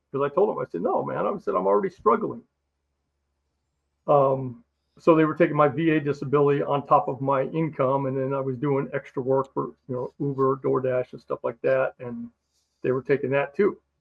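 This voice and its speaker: A man with an American accent speaks in a plain, everyday voice at a fairly high pitch. His pace is fairly quick and his pitch variation ordinary. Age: 60s. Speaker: Marine Corps veteran. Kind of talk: interview testimony.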